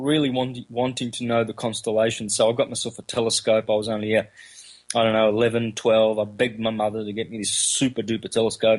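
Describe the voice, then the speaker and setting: A man with an Australian accent talks very fast. His intonation is monotone and flat. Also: medium pitch for a man. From Australia, country Victoria. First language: Calabrian Italian dialect. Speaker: researcher and lecturer on astrotheology. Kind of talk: interview. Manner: halting, many fillers.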